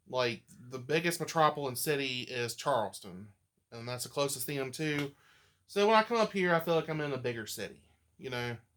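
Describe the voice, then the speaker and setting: A man with a slight Appalachian accent talks at a fairly quick pace, his fairly high pitch moving with lively intonation. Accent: slight Appalachian twang. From West Virginia. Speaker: vacuum collector. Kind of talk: casual chat.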